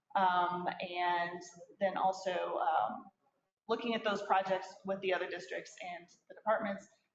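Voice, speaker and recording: A woman at a medium pitch, fairly even in intonation, with audible room echo. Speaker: city staff presenting committee report. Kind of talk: council meeting report. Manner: fast.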